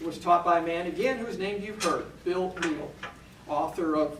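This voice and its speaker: A man talks at a moderate pace in a high pitch. Noticeable background noise and audible room echo come through. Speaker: minister. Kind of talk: talk to a church audience. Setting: church.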